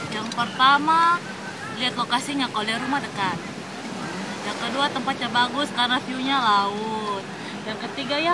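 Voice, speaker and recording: A woman at a moderate pace with ordinary pitch variation, dry sound with no echo, and loud background noise. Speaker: interviewee. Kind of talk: interview answer. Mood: cheerful, relaxed. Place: market.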